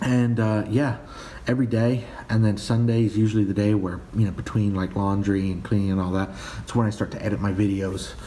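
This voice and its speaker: A man's fairly low voice at a fairly quick pace, fairly even in intonation, with audible room echo. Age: 20s. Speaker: personal finance vlogger. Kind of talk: casual vlog monologue. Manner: hesitant, many fillers and repeats.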